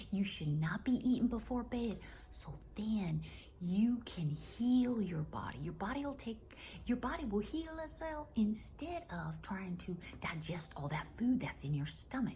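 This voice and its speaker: Whispering and soft-spoken, a woman with a Southern US accent talks at a fairly slow pace. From US South. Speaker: wellness comedy vlogger. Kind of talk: casual monologue to camera. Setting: at home. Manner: whispering, soft.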